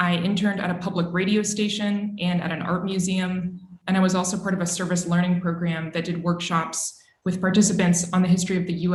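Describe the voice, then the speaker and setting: At a very fast pace, a woman speaks at medium pitch, with audible room echo around her. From Texas, Austin. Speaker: journalist. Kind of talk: career talk to students. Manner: formal.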